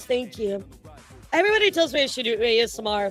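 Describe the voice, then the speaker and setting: Music plays in the background as a woman talks at a fairly quick pace in a fairly high pitch. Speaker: streamer. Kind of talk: casual.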